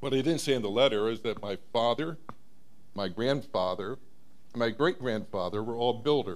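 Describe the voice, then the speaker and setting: An unremarkable speaking voice from a man, medium in pitch, with ordinary pitch variation and a moderate pace. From South Florida (Broward County). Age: 60s. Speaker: resident speaking at public comment. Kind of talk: public comment at city meeting. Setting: city commission meeting.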